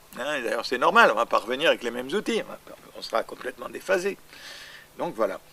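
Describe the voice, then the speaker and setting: The speech comes at a very fast pace. Long pauses break it up often. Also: man. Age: 80s+. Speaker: astrologer. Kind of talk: interview answer.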